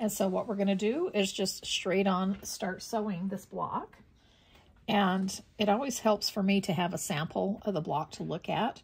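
The voice is somewhat breathy and moves at a moderate pace. The intonation stays fairly even. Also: woman. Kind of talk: tutorial. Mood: cheerful, relaxed. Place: home room.

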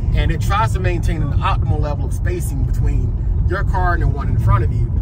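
A man talking at a very fast clip, dry with no echo, over loud background noise. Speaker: car vlogger. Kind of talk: commentary. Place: car. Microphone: camera far.

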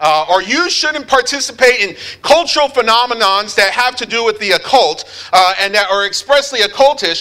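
In a raised, projected voice, a man speaks at a fairly quick pace against a quiet background. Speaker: preacher. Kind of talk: sermon. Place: church. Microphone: lapel.

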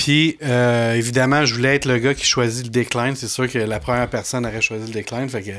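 A man's medium-pitched voice in a Quebec accent, fairly quick with hardly any pauses and fairly even intonation. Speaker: podcast host. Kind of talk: casual chat.

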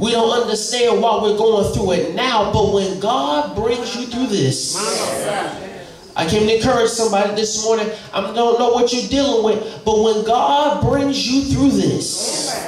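A man's high voice with ordinary pitch variation at a fairly slow pace, amid noticeable background noise and audible room echo. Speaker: minister. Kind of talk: sermon. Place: church. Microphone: podium.

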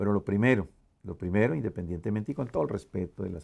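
The tone is dark and mellow. It belongs to a man. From Colombia, Cali. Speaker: tax business owner and community leader; interviewee. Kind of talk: interview. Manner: halting, with fillers. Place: office.

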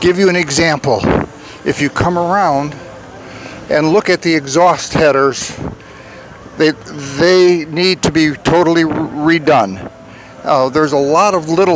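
A man speaks at a fairly slow pace with ordinary pitch variation, the sound dry with no echo but with noticeable background noise. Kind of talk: interview answer. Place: street.

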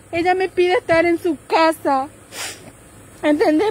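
A woman's voice comes through as a dry sound with no echo. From Formosa, Argentina. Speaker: grieving relative making a public appeal. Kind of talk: live-stream appeal. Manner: urgent, pleading. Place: street. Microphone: phone near.

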